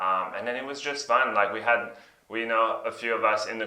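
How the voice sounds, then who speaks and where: A man's medium-pitched voice with a non-native accent, fairly even intonation and a moderate pace, plus noticeable background noise and audible room echo. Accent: foreign accent, noticeable. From Belgium. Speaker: software engineer. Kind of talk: interview. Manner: hesitant, many fillers.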